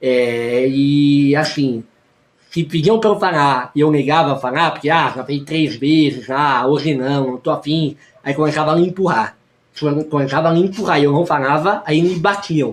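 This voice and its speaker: This man's voice sits fairly high for a man. He speaks at a moderate pace with ordinary pitch variation. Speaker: youtuber and teacher. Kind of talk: personal vlog testimony.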